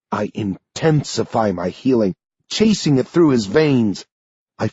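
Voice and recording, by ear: Quiet surrounds the speaker. The text is read aloud in a natural voice, with lively intonation.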